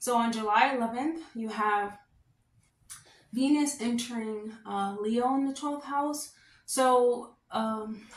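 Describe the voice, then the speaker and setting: There is audible room echo around a woman whose fairly high pitch shows ordinary variation. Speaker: astrologer. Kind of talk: horoscope reading monologue. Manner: loud; casual, filler-heavy.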